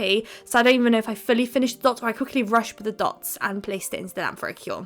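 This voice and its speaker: This woman has a British accent and a fairly high pitch with ordinary pitch variation. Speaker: nail art youtuber. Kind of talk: tutorial voiceover. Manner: fast; chatty, upbeat.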